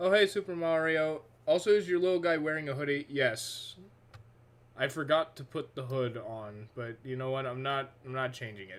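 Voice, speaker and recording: This man's fairly high-pitched voice shows big swings in loudness. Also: moderate pace. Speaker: streamer. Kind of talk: casual live stream chat. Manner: monotone.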